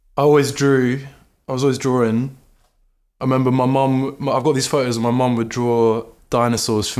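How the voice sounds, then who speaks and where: Here a man speaks in a southern English accent. His pace is moderate and his intonation monotone and flat. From southern England, Brighton. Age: 20s. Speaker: artist and musician. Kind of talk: casual chat. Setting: in-person studio interview.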